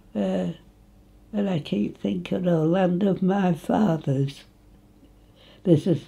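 A woman with an East Midlands accent speaks at a very slow pace in a dark, mellow tone, her pitch swinging very widely and dipping into vocal fry. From England, Nottinghamshire (Retford); Nottinghamshire, England. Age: 80s+. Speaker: local elder reminiscing. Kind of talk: oral history interview; interview answer. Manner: halting. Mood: cheerful, reminiscing. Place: home room.

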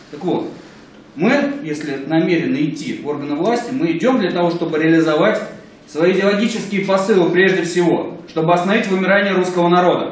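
With audible room echo, a man speaks fairly quickly at a high pitch. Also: ordinary pitch variation. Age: young. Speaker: political consultant. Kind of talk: panel debate. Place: meeting room. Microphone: camera far.

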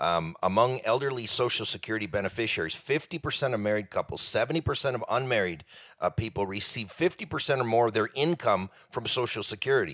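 On a very clean recording with a silent background, a man speaks with a plain, everyday voice at a medium pitch. His intonation is lively and his pace fairly quick. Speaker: economist, author and speaker. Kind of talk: podcast interview.

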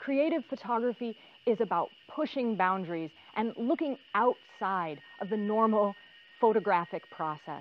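Moderate pacing from a female speaker. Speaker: instructor. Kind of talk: tutorial. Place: forest. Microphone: lapel.

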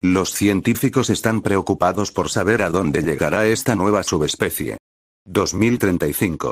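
A man speaks at a moderate pace and a fairly low pitch, with an ordinary speaking voice and ordinary pitch variation. The recording is very clean, with a silent background. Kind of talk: ghost story telling, scripted creepypasta narration. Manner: grave, ominous, even-paced delivery of a dated timeline of disappearances.

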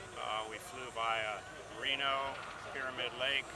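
Speaking very slowly in an American accent, a man is recorded with a dry sound, no echo, and noticeable background noise. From California. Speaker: aircraft builder. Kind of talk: testimonial. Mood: cheerful, lightly humorous. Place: open country. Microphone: phone near.

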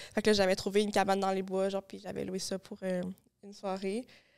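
A woman's voice over a quiet background. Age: young. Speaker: podcast host; podcast guest. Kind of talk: casual chat. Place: studio. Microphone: studio mic.

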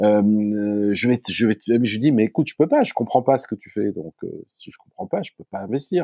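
Dark and mellow in tone, a man talks at a moderate pace with hardly any pauses, lively intonation and big swings in loudness, the sound dry and close with no echo. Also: medium pitch for a man. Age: 60s. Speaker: startup founder. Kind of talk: casual interview.

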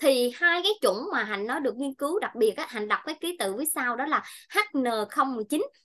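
Against a quiet background, a woman speaks at a fairly slow pace. Her tone is bright and sharp. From Vietnam, Bình Thuận; Vietnam. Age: 30s. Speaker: nutrition consultant; presenter. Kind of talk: health seminar talk. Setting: presentation to audience with mic. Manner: halting, many fillers. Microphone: webcam.

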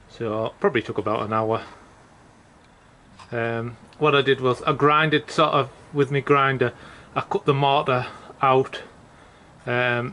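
With a bright, sharp tone and ordinary pitch variation, a man speaks at a moderate pace over light background noise. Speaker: DIY home renovator. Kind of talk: casual vlog narration. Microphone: phone near.

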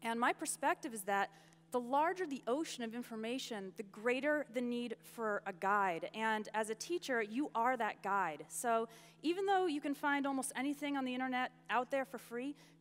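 At a moderate pace, a woman speaks at a high pitch with lively intonation. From US. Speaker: online entrepreneur and English teacher. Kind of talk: conference talk. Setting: stage with audience. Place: stage.

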